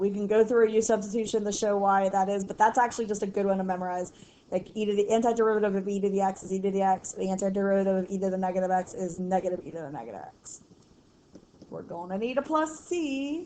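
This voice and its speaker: A woman at a very fast pace, medium in pitch with ordinary pitch variation, a dark, mellow tone and big swings in loudness. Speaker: math teacher. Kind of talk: tutorial. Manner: casual, chatty.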